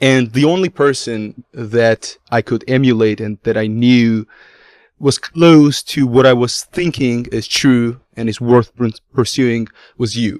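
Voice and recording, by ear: A man at medium pitch, a fairly slow pace, ordinary pitch variation and a slightly mellow tone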